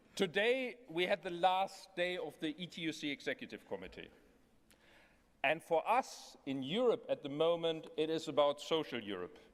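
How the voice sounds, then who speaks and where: This man talks at a fairly slow pace in a high pitch. His intonation is lively. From Germany. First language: German (speaking French). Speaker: European trade union official. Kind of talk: congress speech.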